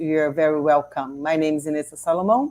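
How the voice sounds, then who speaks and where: In a Brazilian accent, a woman speaks with a dark, mellow tone and ordinary pitch variation. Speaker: training facilitator. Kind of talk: online training introduction. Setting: online video session. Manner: halting.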